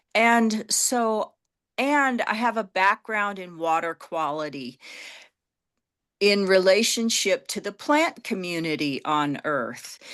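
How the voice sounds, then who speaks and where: Very wide pitch swings at a very slow pace over a quiet background. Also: woman, medium pitch for a woman. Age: 60s. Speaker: horticulturist. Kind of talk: panel discussion.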